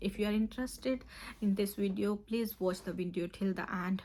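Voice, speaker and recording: A woman speaks at a medium pitch with fairly even intonation. Her tone is dark and mellow, and her voice is somewhat breathy. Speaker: nurse and OET tutor. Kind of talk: tutorial.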